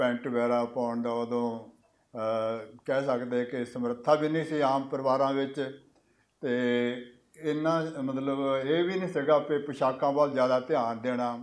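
A man at a very slow pace with fairly even intonation. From Punjab, India (Hoshiarpur district, Doaba); Punjab, India. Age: 70s. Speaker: writer. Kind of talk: interview. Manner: halting. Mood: calm, warm. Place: hall. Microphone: podium.

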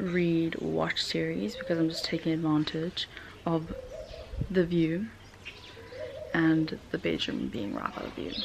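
A woman speaks at a fairly slow pace with long, frequent pauses. Noticeable background noise is present. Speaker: vlogger. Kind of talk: casual vlog chat. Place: home room. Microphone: phone near.

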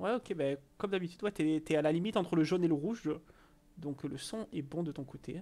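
His pauses long and frequent, a man talks at a fairly quick clip. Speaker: Twitch streamer. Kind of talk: casual chat. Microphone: headset.

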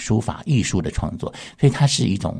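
A man talks at a fairly quick pace with vocal fry and very wide pitch swings. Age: 50s. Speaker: university art professor. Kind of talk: radio interview. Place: studio.

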